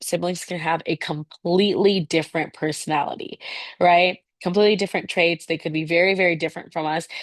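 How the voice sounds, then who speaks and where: Over a quiet background, a woman with a fairly low pitch talks at a fairly quick pace with fairly even intonation in a dry, close sound with no echo. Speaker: teacher. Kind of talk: lecture. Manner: fast.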